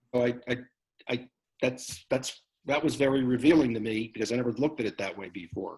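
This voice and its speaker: Music plays behind a man's voice. He is pitched in the medium range, with ordinary variation in pitch. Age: 70s. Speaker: group participant. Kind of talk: casual group discussion.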